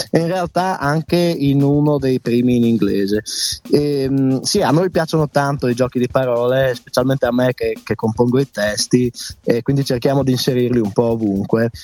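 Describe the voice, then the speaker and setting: Over music in the background, a man speaks at medium pitch and a moderate pace, with ordinary pitch variation, very even loudness and a dry, close sound with no echo. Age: 20s. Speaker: band singer. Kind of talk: radio interview.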